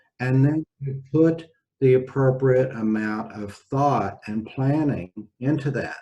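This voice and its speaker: In a somewhat breathy, dark, mellow voice of medium pitch, a man speaks at a very slow pace with ordinary pitch variation. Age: 60s. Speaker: physician. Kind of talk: casual interview chat.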